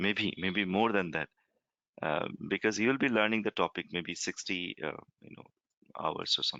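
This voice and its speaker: The speaker talks at a moderate pace with a Bengali accent, leaving long, frequent pauses. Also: man, fairly low pitch for a man, ordinary pitch variation. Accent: Bengali accent, noticeable. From India, West Bengal. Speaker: software trainer. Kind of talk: online demo class Q&A. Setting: recorded online conference call. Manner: halting, many fillers.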